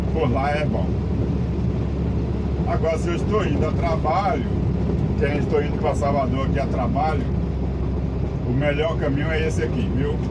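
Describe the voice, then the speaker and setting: Loud noise fills the background. A man is speaking. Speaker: truck driver vlogger. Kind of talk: casual vlog chat. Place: car. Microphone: phone near.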